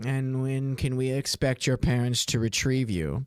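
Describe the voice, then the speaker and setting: Someone uses a put-on character voice at a low-to-middle pitch and a moderate pace. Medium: actual play. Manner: stern, formal.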